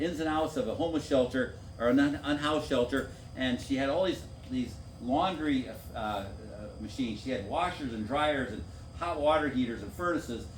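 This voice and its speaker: Set against music in the background and audible room echo, the voice has an American accent and a fairly quick pace. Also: man. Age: 60s. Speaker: former city council member. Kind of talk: public meeting talk.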